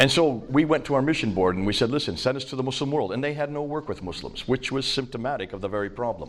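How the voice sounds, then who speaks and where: Speaking very fast with an American accent and hardly any pauses, a man is heard with audible room echo and noticeable background noise. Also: medium pitch for a man, lively intonation. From India. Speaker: missionary and Islam scholar. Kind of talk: lecture.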